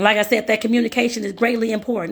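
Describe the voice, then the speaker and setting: A woman speaks with a fairly high pitch. Vocal fry runs through her voice. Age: 40s. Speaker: life and career coach. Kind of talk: live-streamed coaching talk. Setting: live stream to social media. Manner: casual, conversational.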